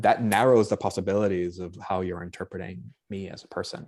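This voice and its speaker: On a very clean recording with a silent background, a man with a slight Boston accent speaks at a fairly low pitch with fairly even intonation. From Boston, US. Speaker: anthropologist, book contributor. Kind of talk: panel discussion. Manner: halting, many fillers.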